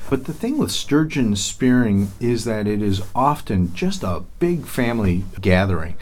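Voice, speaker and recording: Hardly pausing, a man with a fairly low pitch speaks at a fairly slow pace with lively intonation, and the room echo is audible. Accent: American. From lower Michigan. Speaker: tourism bureau president. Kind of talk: interview.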